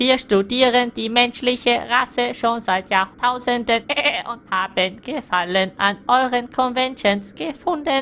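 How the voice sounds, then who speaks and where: Over clear background noise, a put-on character voice comes through at a fairly high pitch and a fairly slow pace. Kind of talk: comic overacting. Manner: hesitant, stammering.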